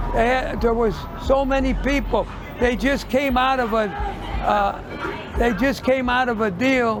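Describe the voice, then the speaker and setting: Over crowd noise and audible room echo, a man with an extremely high pitch talks at a fairly slow pace, with very even loudness and fairly even intonation. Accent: American. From US Midwest, St. Louis. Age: 80s+. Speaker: retired shoe store owner. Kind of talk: street interview. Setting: outdoors on the street. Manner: halting.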